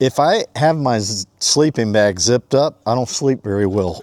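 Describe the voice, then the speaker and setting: A man talks in a normal speaking voice at a medium pitch and a moderate pace. The recording is very clean with a silent background, and the sound is dry and close with no echo. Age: 60s. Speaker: fishing vlogger. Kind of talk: casual vlog narration. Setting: outdoors. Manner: casual, chatty.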